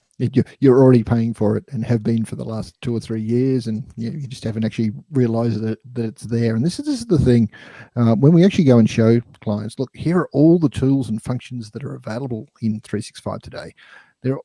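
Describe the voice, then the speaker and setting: With an Australian accent and a dark, mellow tone, the speaker goes at a fairly quick pace with big swings in loudness, in a dry, close sound with no echo. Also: man. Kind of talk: casual chat. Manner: hesitant, repeats words.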